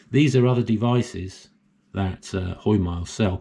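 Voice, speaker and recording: A man's dark, mellow, somewhat breathy voice at a moderate pace with ordinary pitch variation, in a very clean recording with a silent background. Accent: English. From England. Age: 70s. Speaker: solar hobbyist YouTuber. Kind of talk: tutorial. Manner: casual, hesitant with fillers.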